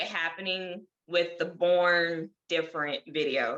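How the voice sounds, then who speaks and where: A woman's fairly low voice with a bright, sharp tone. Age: 20s. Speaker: model and YouTuber with lymphedema. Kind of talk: casual interview.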